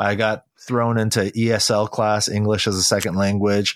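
On a very clean recording with a silent background, a man speaks at a fairly low pitch with a dry, close sound and no echo. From California, Silicon Valley (moved from Korea at four). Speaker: pastor and author. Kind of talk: interview conversation.

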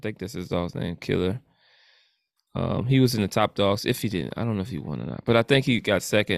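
A man talks at a very fast pace with lively intonation, fairly low pitch and vocal fry, in a very clean, dry, close recording with no echo and a silent background. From New Orleans. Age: 40s. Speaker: podcast host. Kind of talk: casual chat.

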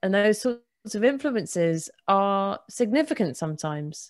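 A woman speaks in a southern English accent at a moderate pace. The background is quiet. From England, Bedford. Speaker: materials scientist and science writer. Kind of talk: casual interview.

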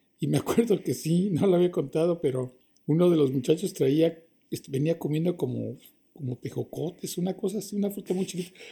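A man's high-pitched voice with a dark, mellow tone at a fairly quick pace. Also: ordinary pitch variation. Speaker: actor. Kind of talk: interview.

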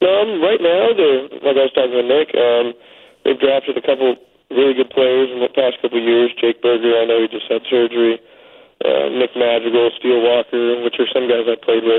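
A man with an American accent has an unremarkable speaking voice, speaking at a medium pitch with ordinary pitch variation and a fairly quick pace. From Northern California. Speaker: baseball player.

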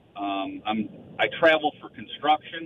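A man with an American accent talks at a fairly slow pace over noticeable background noise. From Chicago area. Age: 60s. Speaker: construction worker, caller. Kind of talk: phone-in call.

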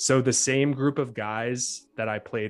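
Over a quiet background, a man talks in a plain, everyday voice at a fairly slow pace with fairly even intonation. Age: 30s. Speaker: fantasy football podcaster and humanities PhD. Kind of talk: casual chat.

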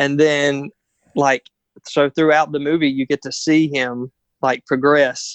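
Here is a man with an American accent and a fairly high pitch. His intonation is monotone and flat. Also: dry, close sound with no echo, quiet background. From North Carolina, US. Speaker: guest. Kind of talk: casual chat. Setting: call recording.

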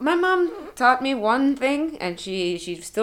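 A woman speaks with lively intonation while noticeable background noise carries on behind her. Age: 20s. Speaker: university student and gamer. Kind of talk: casual chat. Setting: at a friend's home.

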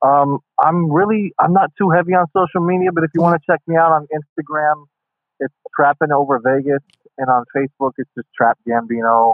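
A man speaks with an American accent in a fairly high pitch, with ordinary pitch variation. It is a normal speaking voice at a fairly quick pace. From small-town Ohio, US Midwest. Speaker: actor and wrestling performer. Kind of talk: casual interview chat. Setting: remote call, guest at home in Ohio.

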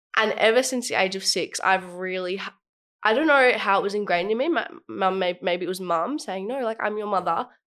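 Speaking fairly quickly with an Australian accent, a woman uses a medium pitch and ordinary pitch variation. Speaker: youth leader. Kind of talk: casual chat.

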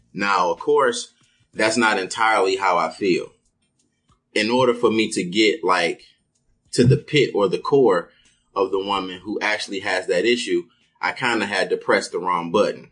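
A man talks with long, frequent pauses while music plays in the background. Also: moderate pace. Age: 30s. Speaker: podcast host. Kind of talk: casual chat. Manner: animated.

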